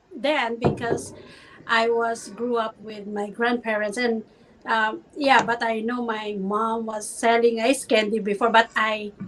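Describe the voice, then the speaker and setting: A woman's fairly high voice, monotone and flat, at a fairly slow pace over noticeable background noise. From Philippines. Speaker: business owner, mother. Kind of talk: casual interview chat. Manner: hesitant, many fillers.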